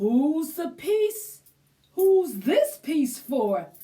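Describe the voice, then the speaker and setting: A woman performs a put-on character voice at a high pitch. Her pitch swings very widely. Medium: read story. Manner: slow, thoughtful.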